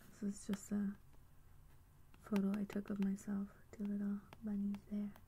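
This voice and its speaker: A somewhat breathy woman with a dark, mellow tone speaks at a medium pitch and a moderate pace. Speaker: singer-songwriter. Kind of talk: ASMR soft-spoken talk to camera. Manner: soft-spoken.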